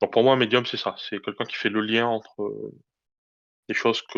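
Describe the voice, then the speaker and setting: Against a quiet background, a man with a medium pitch speaks in a dry, close sound with no echo. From southwest France, near Cahors. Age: 40s. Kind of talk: interview. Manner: halting.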